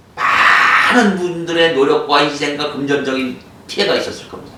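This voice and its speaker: A man speaks in a fairly high pitch with an animated tone and ordinary pitch variation. Audible room echo and noticeable background noise surround him. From Korean province outside the capital area. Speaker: composite wood business owner. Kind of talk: product explainer video. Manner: animated, emphatic.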